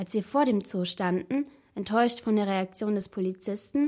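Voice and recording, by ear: Here, a passage is read aloud in a natural voice.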